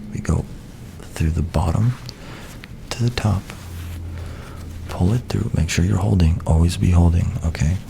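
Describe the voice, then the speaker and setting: A soft-spoken man with a very deep, low pitch and lively intonation, very even loudness, long, frequent pauses and noticeable background noise. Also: moderate pace. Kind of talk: soft-spoken ASMR tutorial to camera. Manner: soft-spoken, casual, friendly.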